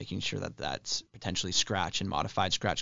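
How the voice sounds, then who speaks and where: A man with an American accent speaks at a fairly quick pace, his voice showing vocal fry. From Spokane, Washington. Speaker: state legislator. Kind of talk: interview. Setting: studio. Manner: frequent fillers (um, uh).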